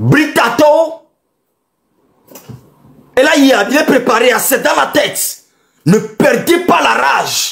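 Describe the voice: A man's extremely high-pitched voice with vocal fry and a fairly bright tone, slow and lively in intonation, broken by long, frequent pauses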